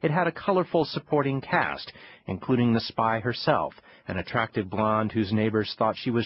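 Somewhat breathy, a man's voice proceeds at a moderate pace. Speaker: audiobook narrator. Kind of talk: scripted magazine narration, read aloud. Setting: studio. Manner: formal, measured newsreader delivery; polished, steady and even-paced.

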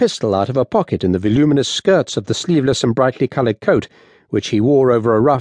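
The delivery is plain reading aloud with ordinary pitch variation.

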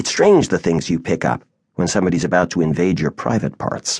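A man's very deep, low voice with vocal fry. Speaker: audiobook narrator. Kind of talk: dramatic first-person audiobook narration. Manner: somber, measured, expressive; shifts into character voices for dialogue.

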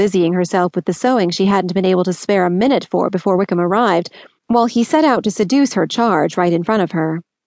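The clip has an unforced reading voice whose pitch rises and falls in an ordinary way.

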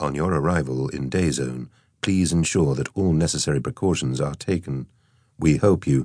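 A man's put-on, robotic character voice, soft-spoken and very deep and low in pitch, at a moderate pace with ordinary pitch variation.

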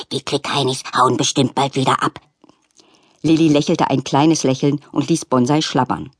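An animated, tearful tone at a moderate pace, with a dry, close sound and no echo. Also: woman, very deep, low pitch for a woman. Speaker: audiobook narrator. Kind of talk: audiobook narration of a children's story, with character voices. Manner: softens to a gentle, sorrowful tone in the tender scene.

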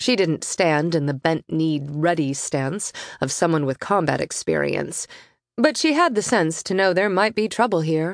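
Moderate pacing and ordinary pitch variation in a fairly low female voice. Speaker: audiobook narrator. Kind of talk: audiobook narration of a sci-fi romance; dramatic narration. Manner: vivid, animated storytelling with dramatic pacing.

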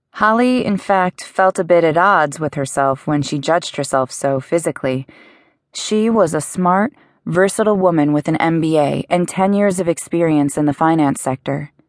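A woman with an unremarkable speaking voice and fairly low pitch talks at a moderate pace with ordinary pitch variation, against a quiet background in a dry, close sound with no echo. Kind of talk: audiobook narration. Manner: smooth, expressive storytelling with light, playful irony.

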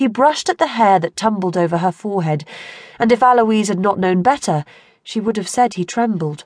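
A woman with an unremarkable speaking voice talks at a fairly quick pace and medium pitch, with lively intonation. The sound is dry and close, with no echo. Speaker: audiobook narrator. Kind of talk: audiobook dramatic narration of a historical romance. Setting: studio.

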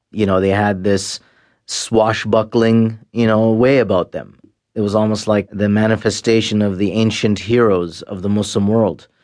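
Moderate pace, monotone, flat intonation and a Canadian accent, against a quiet background. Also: man, fairly low pitch for a man. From Canada. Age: 40s. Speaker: former jihadist. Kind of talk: interview testimony. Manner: halting.

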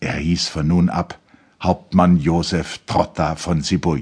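A man's voice with a very deep, low pitch. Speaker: audiobook narrator. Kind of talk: audiobook reading of a literary novel, dramatic narration. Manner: measured, formal; dramatic, expressive.

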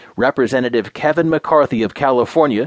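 This man has a normal speaking voice at medium pitch, talking at a moderate pace in a dry, close sound with no echo. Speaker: news reader. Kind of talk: news reading, scripted. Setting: studio. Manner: formal; even, measured.

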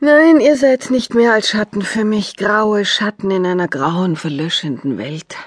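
Her pitch sits in the medium range for a woman. She swings it very widely as she speaks.

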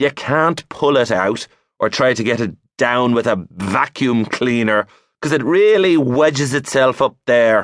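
With an Irish accent, a man speaks fairly slowly in an animated, dramatic tone with lively intonation and very even loudness, in a dry, close sound with no echo and a quiet background. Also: medium pitch for a man. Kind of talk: comic audiobook narration, mock-serious. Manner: animated, with dramatic gasps and sighs.

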